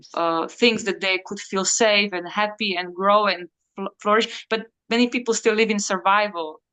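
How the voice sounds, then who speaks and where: With a bright, sharp tone, a woman at medium pitch speaks at a moderate pace with fairly even intonation. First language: Slovak. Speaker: coach on emotional healing. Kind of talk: interview. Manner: halting, many fillers and restarts.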